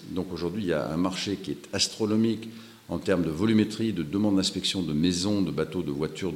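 At a fairly quick pace, a man with a very deep, low pitch speaks with lively intonation. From Europe. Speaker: startup founder. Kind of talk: interview. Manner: hesitant, with filler sounds.

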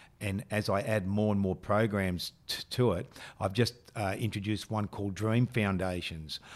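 Speaking at a moderate pace with fairly even intonation, a man with a strong Australian accent comes through on a very clean recording against a silent background. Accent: broad Australian. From western Sydney, Australia. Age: 50s. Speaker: business leadership mentor. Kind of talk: podcast interview. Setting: studio.

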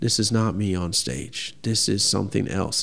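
A man's unremarkable speaking voice, with fairly even intonation and a moderate pace. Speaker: pastry chef. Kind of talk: interview conversation.

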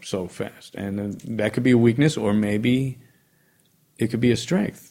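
With a New York accent, a man talks at a fairly slow pace with ordinary pitch variation. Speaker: jazz pianist. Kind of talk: casual interview chat.

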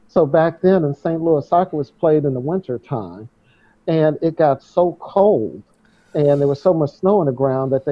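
Fairly high-pitched man with an unremarkable speaking voice, moderate pace and ordinary pitch variation. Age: 60s. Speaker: runner and author. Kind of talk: interview conversation.

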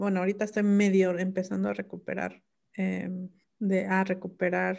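A woman speaks at a medium pitch in a dark, mellow tone. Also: quiet background. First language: Mixe (speaking Spanish). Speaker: linguist and writer. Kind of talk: interview. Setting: video call. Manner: halting.

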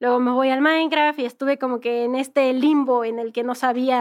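A fairly quick pace with flat, monotone intonation. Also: woman. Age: 20s. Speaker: gamer and content creator. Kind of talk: interview.

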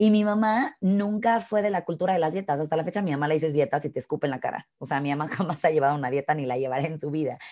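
Talking very fast with hardly any pauses, a woman with a Mexican accent uses lively intonation at a very deep, low pitch. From Mexico. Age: 30s. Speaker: fitness instructor. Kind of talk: casual chat.

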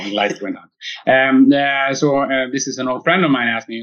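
A man with a Swedish accent. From Sweden. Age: 50s. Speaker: tech company founder and physicist. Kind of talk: interview. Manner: halting, many fillers.

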